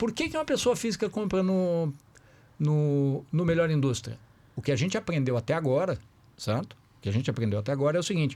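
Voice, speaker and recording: A dark, mellow, somewhat breathy voice in a southern Brazilian accent moves at a fairly quick pace with very wide pitch swings, on a very clean recording with a silent background. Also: man, fairly high pitch for a man. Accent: Porto Alegre (gaúcho). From southern Brazil, Porto Alegre. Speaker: company founder. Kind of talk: podcast panel discussion. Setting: live stream. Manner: conversational, frequent 'certo?' fillers.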